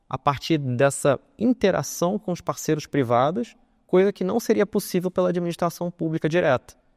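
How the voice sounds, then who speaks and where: With a Carioca accent, a man talks at a high pitch and a moderate pace. His intonation is lively, and the sound is dry and close with no echo. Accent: carioca (Rio) accent, chiado S. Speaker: legal consultant, conference speaker. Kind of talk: conference talk.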